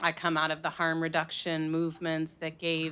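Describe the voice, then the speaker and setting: At a moderate pace, a woman speaks in a fairly low voice with a bright, sharp tone. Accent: American. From Chicago. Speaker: nonprofit executive director. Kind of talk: panel introduction. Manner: casual.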